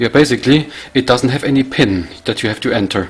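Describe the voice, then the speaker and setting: Against noticeable background noise, a man with a German accent speaks at a moderate pace with fairly even intonation. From Germany. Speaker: tech YouTuber. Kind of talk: product review tutorial. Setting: home lab. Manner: casual, halting with fillers.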